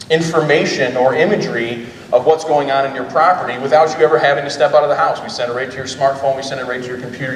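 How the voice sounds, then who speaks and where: A loud man's voice, fairly high for a man, at a very fast pace with hardly any pauses and fairly even intonation, plus noticeable background noise and audible room echo. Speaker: drone company owner presenting. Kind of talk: conference presentation.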